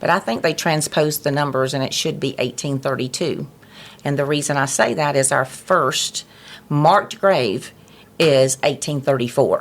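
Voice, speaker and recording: With a Southern US accent, a woman speaks at a moderate pace in a very deep, low voice with fairly even intonation. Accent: Southern US (Georgia). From US South, Georgia. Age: 60s. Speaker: nonprofit president. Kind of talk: interview. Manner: halting, many fillers.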